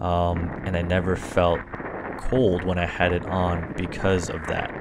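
With faint music in the background, a man of very deep, low pitch speaks at a fairly slow pace with fairly even intonation. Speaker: product reviewer. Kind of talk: product review voice-over.

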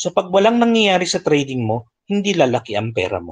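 A man's voice with very wide pitch swings. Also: quiet background. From Philippines. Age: 50s. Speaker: forex trading educator. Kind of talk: live market analysis tutorial. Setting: livestream with screen share. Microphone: video call.

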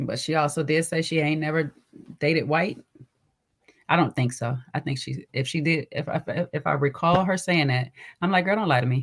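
Her very deep, low voice is somewhat breathy, and the woman leaves long, frequent pauses. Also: ordinary pitch variation, moderate pace. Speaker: livestream show host.

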